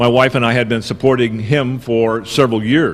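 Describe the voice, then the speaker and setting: A man speaks in an ordinary speaking voice at a moderate pace, his pitch medium. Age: 60s. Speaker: political activist. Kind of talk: conference talk.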